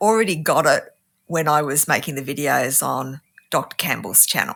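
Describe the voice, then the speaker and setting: Bright, sharp tone in an Australian accent, with very wide pitch swings and a moderate pace. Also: woman. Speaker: scientist and YouTube debunker. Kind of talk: interview conversation.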